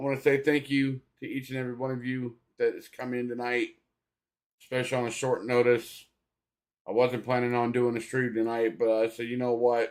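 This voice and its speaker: Medium-pitched male voice at a fairly quick pace, monotone and flat. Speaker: sports streamer. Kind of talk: live commentary. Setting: live stream. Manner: low-energy.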